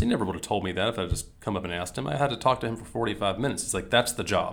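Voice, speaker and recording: This man speaks with a Southern US accent. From US South, Mississippi. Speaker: business strategy consultant. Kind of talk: casual interview conversation.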